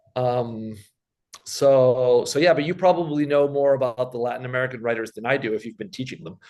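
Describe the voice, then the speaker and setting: The voice moves at a fairly quick pace with ordinary pitch variation and big swings in loudness. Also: man, medium pitch for a man. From Argentina, childhood in US and Switzerland. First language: Spanish. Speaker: science fiction writer. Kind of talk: interview conversation. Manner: halting, many repetitions.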